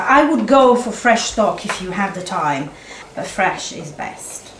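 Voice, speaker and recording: Her pitch swings very widely as the woman talks at a fairly slow pace. Room echo is audible, along with noticeable background noise. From Italy. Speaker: chef. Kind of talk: cooking demonstration. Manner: halting.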